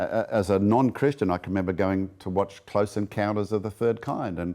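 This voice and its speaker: With a dark, mellow tone, a man speaks at a fairly quick pace with a fairly low pitch and ordinary pitch variation. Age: 60s. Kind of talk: interview.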